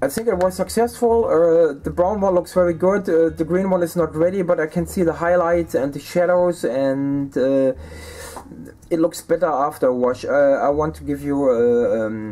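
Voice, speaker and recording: A man with a German accent speaks at a fairly high pitch and a moderate pace, with ordinary pitch variation. Noticeable background noise is present. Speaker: miniature painting YouTuber. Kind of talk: hobby tutorial and review. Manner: halting, many fillers.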